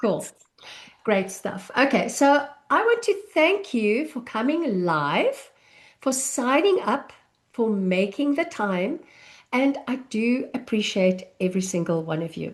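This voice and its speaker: A woman speaks with a South African accent at a very slow pace. Her high pitch swings very widely. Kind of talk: live online masterclass. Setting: live online session with chat.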